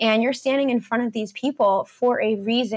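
A woman's fairly high voice moves along at a medium pace. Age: 20s. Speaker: nurse and fitness coach. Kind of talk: casual chat. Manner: energetic.

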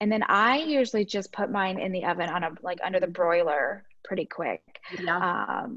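A woman with a normal speaking voice and lively intonation. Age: 30s. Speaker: registered nurse and home fitness coach. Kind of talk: casual interview.

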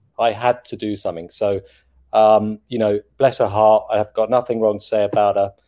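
A man with an English accent, a dark, mellow tone and fairly low pitch at a moderate pace, on a very clean recording with a silent background. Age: 50s. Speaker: chocolate taster and TV personality. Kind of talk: casual chat. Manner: animated.

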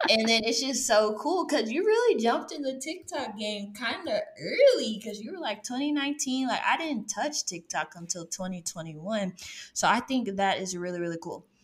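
In an animated tone, a woman speaks at a fairly high pitch, and her pitch swings very widely. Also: moderate pace. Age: 30s. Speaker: podcast host, former teacher. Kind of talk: interview.

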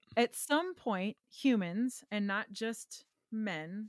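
A woman with a Wisconsin accent and ordinary pitch variation, dry and close with no echo, on a very clean recording with a silent background. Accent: Upper Midwest (Wisconsin). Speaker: guitar pedal company co-owner. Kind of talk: casual chat.

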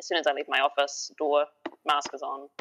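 The speaker has a strong New Zealand accent. Music plays in the background. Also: woman. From New Zealand, lives in Dunedin. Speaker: podcast guest, book club member.

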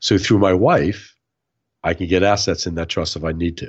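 A man speaks in a very deep, low voice with an American accent. His pace is fairly quick. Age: 60s. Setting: remote call.

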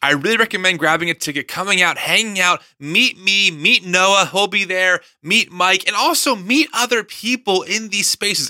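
A man's raised, projected, high-pitched voice, bright, sharp and animated in tone, at a moderate pace with ordinary pitch variation. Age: 30s. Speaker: podcast host. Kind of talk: interview conversation; host promo read.

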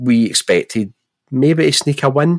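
A man speaks in a Glaswegian accent with lively intonation. The sound is dry and close, with no echo. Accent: Glaswegian Scottish. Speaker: football podcast host. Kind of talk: casual chat.

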